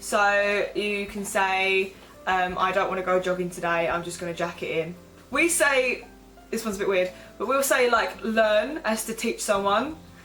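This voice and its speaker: A woman with an Essex accent speaks at a moderate pace and medium pitch, her intonation lively, with music in the background. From Essex, England. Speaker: vlogger. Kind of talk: casual talk to camera.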